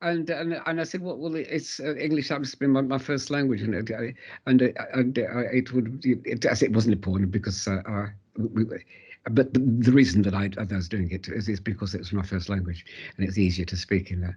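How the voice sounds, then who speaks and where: A man with a medium pitch talks at a fairly quick pace, somewhat breathy and with lively intonation. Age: 80s+. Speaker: interviewee sharing life story. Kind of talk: interview. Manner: halting, many repetitions and fillers.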